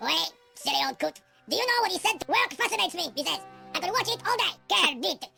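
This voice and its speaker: A squeaky, put-on character voice races along at a very fast pace over faint music in the background. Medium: video game.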